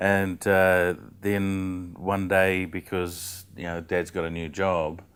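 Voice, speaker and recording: Speaking at a very slow pace, a man with a New Zealand accent has a very deep, low pitch and flat, monotone intonation. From New Zealand, central North Island. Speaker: comedian. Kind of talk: casual chat. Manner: halting.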